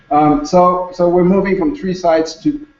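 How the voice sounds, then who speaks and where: A man is speaking. He has a Quebec accent. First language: French. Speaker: conference speaker, former hospital logistics manager. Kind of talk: conference presentation. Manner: halting, many repetitions.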